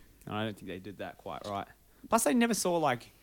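The recording is very clean with a silent background. A man speaks at a very fast pace. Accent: New Zealand. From New Zealand. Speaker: podcast co-host. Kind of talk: casual chat.

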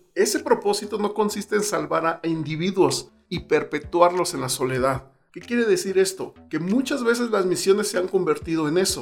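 The speaker keeps a moderate pace with hardly any pauses and ordinary pitch variation. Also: man, high pitch for a man. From Mexico City. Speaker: pastor and missionary podcaster. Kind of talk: solo podcast talk on missions.

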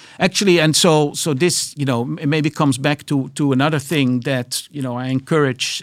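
In a very clean recording with a silent background, a man with a Dutch accent speaks at a moderate pace in a fairly high pitch, his intonation fairly even. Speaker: biotech entrepreneur and investor. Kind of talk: interview. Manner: hesitant, many fillers.

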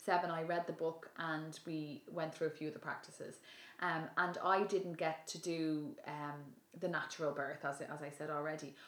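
A woman speaks in a Dublin accent at a moderate pace. Her pitch is very deep and low, and her intonation is monotone and flat. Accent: Dublin Irish. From Ireland (Dublin). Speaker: yoga teacher and public speaker. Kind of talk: casual chat. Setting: at home.

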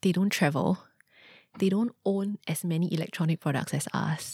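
Her tone is dark and mellow, somewhat breathy, and fairly low in pitch. The woman speaks at a moderate pace in a dry, close sound with no echo. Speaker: non-profit executive director. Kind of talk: interview. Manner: hesitant, many fillers.

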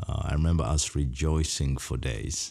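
This man's very deep, low voice carries vocal fry and ordinary pitch variation. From Uganda, Kampala slum. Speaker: humanitarian speaker. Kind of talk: personal testimony.

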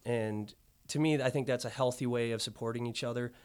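A man with a Midwestern American accent talks at a fairly quick pace with fairly even intonation, on a very clean recording with a silent background. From northern Illinois (Freeport). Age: 30s. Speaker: restaurant owner. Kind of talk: casual interview.

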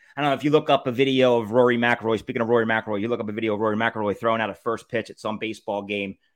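Talking at a very fast pace with hardly any pauses, a man with a medium pitch and a Philadelphia accent sounds animated. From Philadelphia area / South Jersey shore. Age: 40s. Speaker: podcast host. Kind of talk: casual solo monologue.

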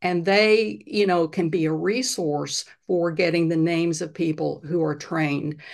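In an unremarkable speaking voice, a woman talks at a fairly low pitch with ordinary pitch variation and hardly any pauses over a quiet background. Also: fairly slow pace. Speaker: health coach and retired psychiatrist. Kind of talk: casual interview.

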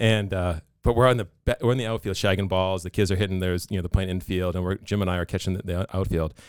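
A man with a Boston accent talks at a very fast pace with hardly any pauses, his very deep, low voice in fairly even intonation. The recording is very clean with a silent background. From Massachusetts (Pembroke). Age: 40s. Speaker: business owner. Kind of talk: casual chat.

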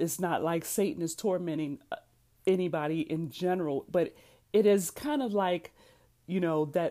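On a very clean recording with a silent background, a woman speaks at a moderate pace in a dark, mellow tone with ordinary pitch variation. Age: 50s. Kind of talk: solo podcast monologue.

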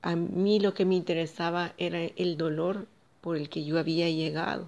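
Her fairly low-pitched voice carries a monotone, flat intonation as this woman speaks. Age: 40s. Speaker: vlogger sharing personal story. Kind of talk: personal testimony.

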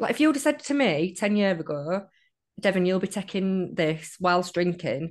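Against a quiet background, a woman with a northern English accent talks at a moderate pace and medium pitch. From northern England. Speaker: guest sharing sobriety story. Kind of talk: casual interview chat.

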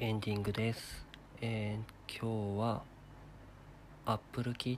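A man with a fairly low voice speaks in a flat monotone, a little breathy, on a very clean recording with a silent background. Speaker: solo podcast host. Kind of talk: casual solo monologue. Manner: hesitant, many fillers; somewhat formal.

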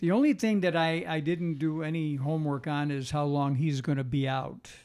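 Using a plain, everyday voice, a man speaks at a moderate pace in a fairly high pitch with ordinary pitch variation. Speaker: podcast co-host and football fan. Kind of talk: casual chat. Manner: jovial.

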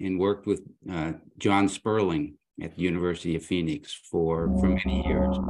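Speaking at a moderate pace, a man with a very deep, low pitch shows vocal fry. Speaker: guest co-host, former university president. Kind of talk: casual interview.

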